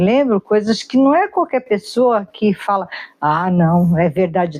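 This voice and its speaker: With an ordinary speaking voice, a woman talks at medium pitch and a fairly slow pace. Her intonation is lively. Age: 60s. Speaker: interviewee sharing life memories. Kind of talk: casual conversational interview.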